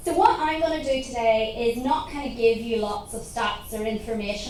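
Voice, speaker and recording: A woman talks at a moderate pace in a fairly high pitch with ordinary pitch variation. Audible room echo and noticeable background noise surround her voice. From Northern Ireland. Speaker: research centre director. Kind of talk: conference talk.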